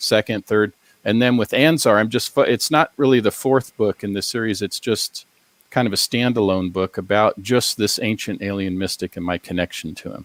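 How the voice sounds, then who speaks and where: A man with an American accent uses a normal speaking voice at a fairly low pitch, with ordinary pitch variation and a moderate pace, in a dry, close sound with no echo. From US Pacific Northwest, Seattle. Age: 60s. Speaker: academic and paranormal author. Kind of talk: interview on a paranormal talk show.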